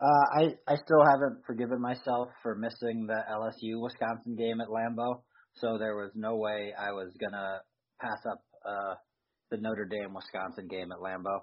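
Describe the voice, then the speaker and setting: This man speaks in an ordinary speaking voice, keeping a medium pitch, a moderate pace and fairly even intonation. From Philadelphia, US. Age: 30s. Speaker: sports podcast co-host. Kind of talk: casual chat.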